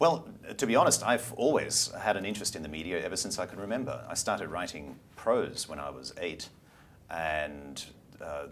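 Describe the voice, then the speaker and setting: Pitched fairly low, a man talks at a moderate pace with very wide pitch swings and big swings in loudness. Background noise is noticeable. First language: German. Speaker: media company CEO and former broadcaster. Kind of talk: interview. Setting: studio.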